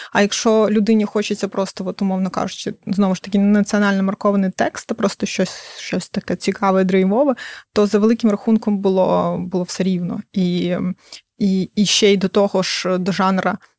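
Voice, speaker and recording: A woman at a medium pitch and moderate pace, monotone and flat in intonation, with a dry, close sound and no echo. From northern Crimea, Ukraine. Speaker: fantasy novelist. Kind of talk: interview.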